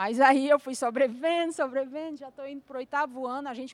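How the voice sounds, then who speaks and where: A woman talks, her pitch high. It varies in an ordinary way. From Fortaleza, Brazil. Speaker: finance manager. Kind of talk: lecture.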